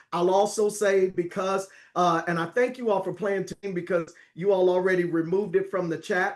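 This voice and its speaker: A man's high-pitched voice, monotone and flat, at a moderate pace. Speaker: network marketing presenter. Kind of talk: sales presentation. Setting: video call.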